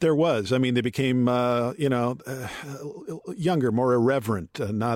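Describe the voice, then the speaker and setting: An ordinary speaking voice with an American accent. It moves at a moderate pace. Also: man. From Michigan, US Midwest. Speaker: author and journalist. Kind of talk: interview conversation.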